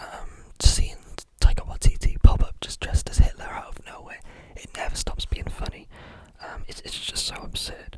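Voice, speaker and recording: Whispering in a relaxed, calm tone over noticeable background noise. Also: moderate pace. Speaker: ASMR film reviewer. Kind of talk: ASMR film review talk. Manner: whispered.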